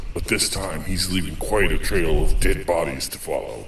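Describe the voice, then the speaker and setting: Over clear background noise, a man delivers lines in a put-on character voice at a moderate pace. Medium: audio drama. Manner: terse, gruff hard-boiled monologue.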